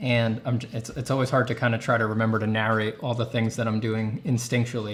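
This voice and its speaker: With an American accent, a man talks while music plays behind him. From New York. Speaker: artist and art teacher. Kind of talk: live stream paint-over tutorial. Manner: casual, thinking aloud.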